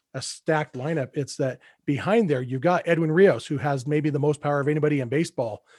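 A man with an unremarkable speaking voice and a fairly high pitch speaks in a dry, close recording with no echo, very clean against a silent background. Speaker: podcast host. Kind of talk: casual chat.

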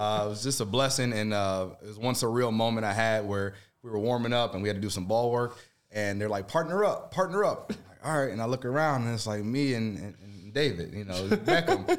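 A man with an American accent speaks at a fairly quick pace in a medium pitch, an unremarkable speaking voice. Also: ordinary pitch variation. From Chicago area (Evanston), US Midwest. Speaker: former pro soccer player, radio color commentator. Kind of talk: casual sports chat.

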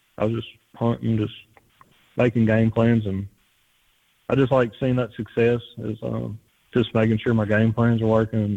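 A man with a South Louisiana accent talks at a moderate pace in a dark, mellow tone with monotone, flat intonation. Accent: South Louisiana Southern US. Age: 20s. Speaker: hunter, podcast listener. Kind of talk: casual interview.

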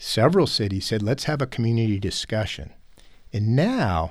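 A man talks at a moderate pace, sounding somewhat breathy. The recording is very clean, with a silent background. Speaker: city mayor. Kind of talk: interview. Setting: studio.

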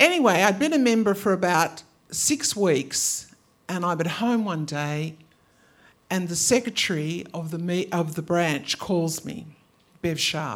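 Speaking in an Australian accent, a woman has a fairly low pitch and ordinary pitch variation. Her pace is fairly slow. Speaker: storyteller. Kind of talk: live storytelling. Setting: stage with audience.

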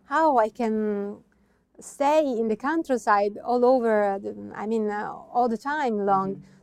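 A woman with an Italian accent, fairly high pitch, ordinary pitch variation, a very slow pace and big swings in loudness. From Italy, Veneto (Verona, Valpolicella). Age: young. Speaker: wine producer. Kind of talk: interview. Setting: at the winery estate. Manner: halting, with many fillers.

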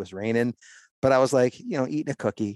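Over a quiet background, a man talks very fast at medium pitch with fairly even intonation, the sound dry and close with no echo. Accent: Midwestern American. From Ohio, US Midwest. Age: 40s. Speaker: hunting podcast host, former factory worker. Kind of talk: casual interview chat.

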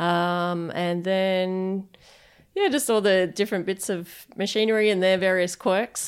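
Against a silent background on a very clean recording, a woman with an Australian accent and medium pitch speaks at a fairly slow pace with fairly even intonation. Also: very even loudness. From Perth, Western Australia. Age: 30s. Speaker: head brewer. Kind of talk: interview. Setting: brewpub offices.

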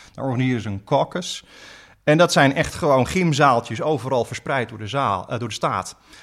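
At a moderate pace, a man with a plain, everyday voice and medium pitch speaks with ordinary pitch variation and big swings in loudness. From Friesland, Netherlands. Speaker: law professor and US politics expert. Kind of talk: podcast interview explaining politics.

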